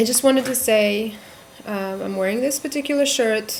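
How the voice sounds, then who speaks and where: A soft-spoken woman with a fairly high pitch, amid noticeable background noise. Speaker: vlogger. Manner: halting.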